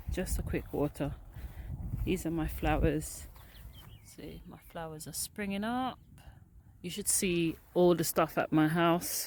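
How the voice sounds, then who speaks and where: Fairly slow and fairly low in pitch, a woman's voice comes through on a very clean recording with a silent background. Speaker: allotment gardener vlogger. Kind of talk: casual walk-through vlog. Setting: outdoors.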